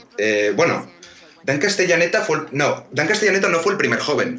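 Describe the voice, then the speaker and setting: A man speaks with lively intonation. Audible room echo and noticeable background noise surround him. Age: 20s. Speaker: screenwriter. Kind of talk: casual chat. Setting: video call.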